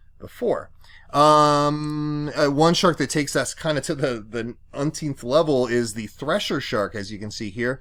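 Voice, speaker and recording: A man talks with an ordinary speaking voice and lively intonation at a moderate pace. The recording is very clean, with a silent background. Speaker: science teacher. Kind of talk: recorded lecture. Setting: home basement. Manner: many fillers (um, uh).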